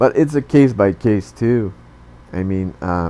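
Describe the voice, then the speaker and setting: A man with a non-native accent speaks at a fairly low pitch in a dark, mellow tone. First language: not English. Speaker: tech YouTuber. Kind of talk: tutorial. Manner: halting.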